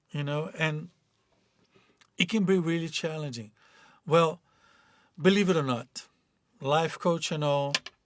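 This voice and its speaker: A fairly slow voice in a Portuguese accent with long, frequent pauses and ordinary pitch variation, in a very clean recording with a silent background. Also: man, fairly high pitch for a man. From Brazil. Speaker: life coach. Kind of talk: motivational talk. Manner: halting.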